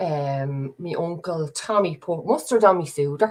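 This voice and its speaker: With a Dublin accent, a woman speaks in a very deep, low pitch. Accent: Dublin Irish. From Dublin, Ireland. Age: 30s. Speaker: podcast host. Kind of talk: casual livestream chat. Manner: rambling, chatty.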